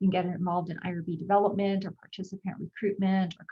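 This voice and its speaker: Somewhat breathy, the voice moves at a very fast pace in a flat monotone. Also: woman. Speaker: psychiatry research faculty. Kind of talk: presentation on video call.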